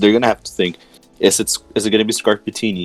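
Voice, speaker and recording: A man with a fairly low pitch speaks at a very fast pace. The sound is dry and close with no echo, with music in the background. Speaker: Pokemon draft league analyst. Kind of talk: casual chat.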